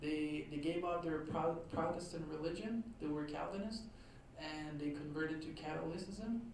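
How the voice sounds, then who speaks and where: Someone with a Quebec accent speaks at a moderate pace over noticeable background noise. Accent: Québécois French accent in English. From Quebec, Trois-Rivières. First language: French. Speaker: author and historian. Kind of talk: lecture. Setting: talk to a live audience. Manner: hesitant, many fillers.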